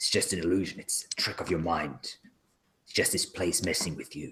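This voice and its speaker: A man whispers in a put-on character voice. He speaks quietly. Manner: whispering, hushed.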